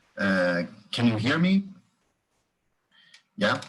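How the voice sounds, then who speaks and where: With a Brazilian accent, a man talks at a medium pitch, his voice swinging very widely in pitch. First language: Portuguese. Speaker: history professor. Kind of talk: lecture. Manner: halting.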